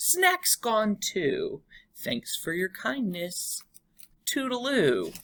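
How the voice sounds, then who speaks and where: A woman uses a put-on character voice at a fairly high pitch. She speaks at a very slow pace. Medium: read story. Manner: clipped, breezy phrases.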